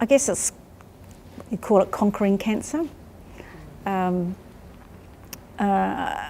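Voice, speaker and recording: Speaking at a very slow pace with long, frequent pauses, a woman has a New Zealand accent. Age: 60s. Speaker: cancer patient. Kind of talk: interview testimony.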